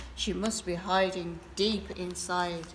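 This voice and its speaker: Over clear background noise, a woman puts on a character voice at a medium pitch and a fairly slow pace. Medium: read story.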